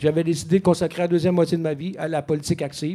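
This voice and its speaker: This man's voice has a high pitch. Its tone is dark and mellow. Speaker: political candidate, former journalist. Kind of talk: political debate. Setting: bar with live audience.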